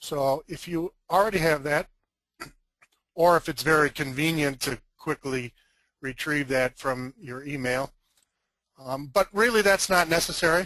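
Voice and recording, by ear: Gravelly yet bright and sharp in tone, a man speaks at a fairly slow pace and a fairly high pitch with ordinary pitch variation.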